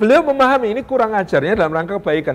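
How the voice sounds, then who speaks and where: An extremely high-pitched male voice with lively intonation, a fairly quick pace and noticeable background noise. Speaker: Islamic preacher. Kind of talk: sermon.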